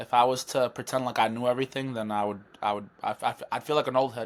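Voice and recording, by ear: A man talks at a fast pace with little pitch movement. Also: medium pitch for a man.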